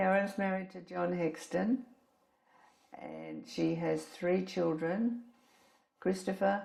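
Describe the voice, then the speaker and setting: At a very slow pace, a woman speaks with an Australian accent. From Australia, Brisbane. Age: 80s+. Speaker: elderly woman telling her life story. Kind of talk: recorded life-story interview.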